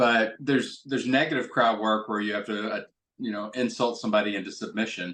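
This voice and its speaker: A man talks at a fairly quick pace with fairly even intonation and a medium pitch. He has a plain, everyday voice. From Kentucky, US. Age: 60s. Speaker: stand-up comedian and rhetoric professor. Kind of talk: interview conversation.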